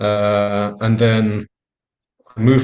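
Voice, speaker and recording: A man speaks at medium pitch with a London accent. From London, England. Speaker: family doctor. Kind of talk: panel self-introduction. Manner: hesitant, many fillers.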